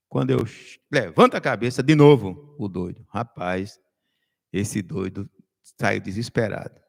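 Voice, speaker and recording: A man speaks with vocal fry, recorded dry and close with no echo. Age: 60s. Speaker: political commentator. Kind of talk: casual chat.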